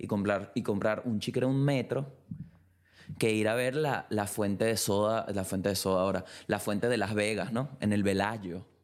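A man with a Venezuelan accent speaks in an animated tone, fairly low in pitch, at a moderate pace with ordinary pitch variation. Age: 20s. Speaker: podcaster. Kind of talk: casual solo monologue. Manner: loud.

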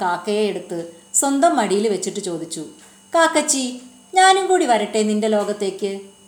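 A woman speaks at a fairly high pitch with very wide pitch swings. Audible room echo surrounds her voice. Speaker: audiobook narrator. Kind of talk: reading aloud.

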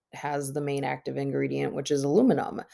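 Recorded very cleanly against a silent background, a woman speaks with an Upper Midwest accent. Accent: Upper Midwest American. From Minnesota. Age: 30s. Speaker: podcast host. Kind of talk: solo podcast monologue. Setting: at home on her bed. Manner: talkative.

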